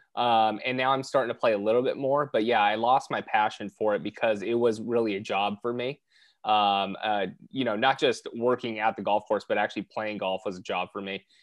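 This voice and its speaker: A man's medium-pitched, fairly quick delivery in an ordinary speaking voice, with fairly even intonation and a quiet background. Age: 30s. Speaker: real estate investor. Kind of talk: podcast interview.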